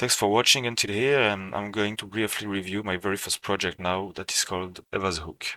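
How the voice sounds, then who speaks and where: With a French accent, a man talks at a fairly quick pace in a fairly low pitch, his tone bright and sharp and his intonation fairly even, on a very clean recording with a silent background. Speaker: self-taught game developer. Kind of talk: portfolio walkthrough narration.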